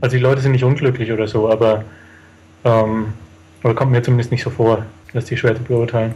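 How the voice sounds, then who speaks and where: Speaking at a very fast pace yet with long, frequent pauses, a man holds a medium pitch in a monotone, flat intonation. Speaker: traveller. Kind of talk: interview.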